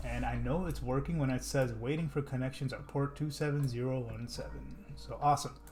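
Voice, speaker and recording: A man talks at a fairly quick pace, his voice carrying audible room echo. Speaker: software developer. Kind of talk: coding tutorial. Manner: casual.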